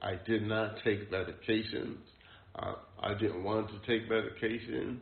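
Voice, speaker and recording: The speech is fairly slow, with fairly even intonation. Room echo is audible. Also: man, fairly low pitch for a man. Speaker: poet and mental health service user. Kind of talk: interview testimony. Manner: halting.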